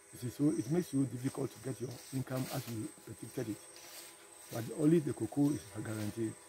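With a Ghanaian accent, a man talks very fast at medium pitch with ordinary pitch variation, the sound dry with no echo and light background noise. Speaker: farmer and former military officer. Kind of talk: interview answer. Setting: outdoors. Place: farm machine. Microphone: phone near.

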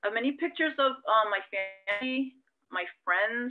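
Speaking at a moderate pace, a woman with an American accent uses lively intonation. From California, US. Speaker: congressional candidate. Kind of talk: interview. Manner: halting.

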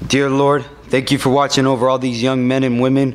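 Speaking in a monotone with flat intonation, a man keeps a fairly quick pace. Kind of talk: public prayer / invocation. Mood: solemn, reverent. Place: hall. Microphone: podium.

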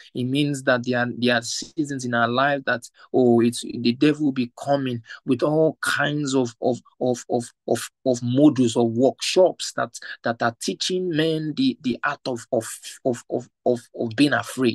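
An unremarkable speaking voice moves at a fairly slow pace with fairly even intonation, in a dry, close sound with no echo. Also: man, medium pitch for a man. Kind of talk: fervent prayer; prayer meeting. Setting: online video call.

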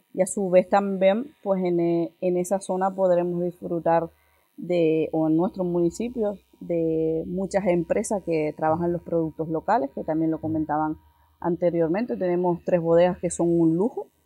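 A woman speaks at a fairly slow pace, her pitch fairly low and her intonation fairly even, with music playing in the background. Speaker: tourism councillor.

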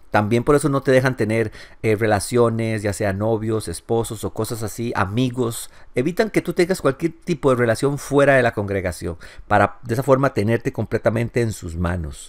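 With an unremarkable speaking voice, a man talks at a medium pitch and moderate pace with lively intonation. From Costa Rica. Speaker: ex-Jehovah's Witness YouTuber. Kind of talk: news commentary monologue.

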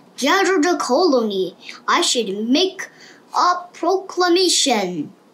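This is a put-on character voice pitched extremely high. It moves at a fairly slow pace. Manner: heroic, proclaiming.

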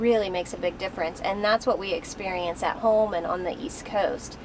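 A woman talks at a fairly quick pace against noticeable background noise. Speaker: travel vlogger. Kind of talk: casual vlog chat. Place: car.

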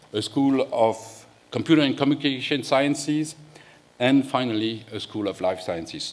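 A man's voice with ordinary pitch variation at a moderate pace. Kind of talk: opening speech. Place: hall. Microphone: podium.

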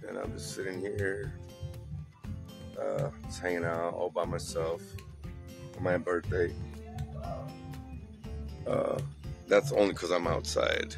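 Against clear music in the background, a man speaks at a fairly slow pace with long, frequent pauses, and the sound is dry with no echo. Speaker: vlogger celebrating birthday. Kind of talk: casual vlog chat. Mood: relaxed, playful. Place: garden. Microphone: phone near.

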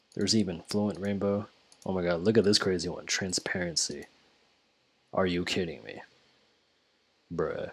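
The speech moves at a moderate pace with long, frequent pauses and fairly even intonation. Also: man, very deep, low pitch for a man. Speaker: engineering student. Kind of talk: tutorial. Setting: home recording with headset. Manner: casual, hesitant with many fillers. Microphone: headset.

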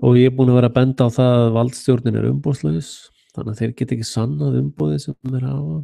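A man's medium-pitched voice has a dark, mellow tone and lively intonation. The sound is dry with no echo against a quiet background. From Iceland. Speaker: independent internet show host. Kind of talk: solo monologue commentary. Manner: halting. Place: home room. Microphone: studio mic.

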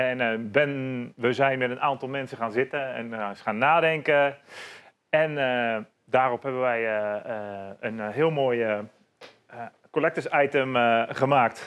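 A man at a medium pitch, speaking at a very slow pace with fairly even intonation. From Netherlands, North Brabant ('s-Hertogenbosch). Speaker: bar owner; podcast guest. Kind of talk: casual interview. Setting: in his bar. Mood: relaxed, cheerful. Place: bar.

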